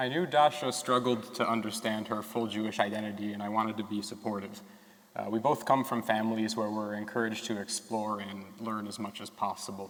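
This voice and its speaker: Delivered in a western New York accent, the talk runs at a fairly quick pace with fairly even intonation. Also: man, fairly low pitch for a man. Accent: western New York American. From Rochester, New York. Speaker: medical student. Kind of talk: prepared speech reading.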